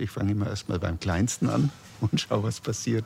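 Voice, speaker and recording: At a moderate pace, a man with a fairly low pitch sounds somewhat breathy, his pitch varying in an ordinary way. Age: 60s. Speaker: self-help group member. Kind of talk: interview. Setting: café.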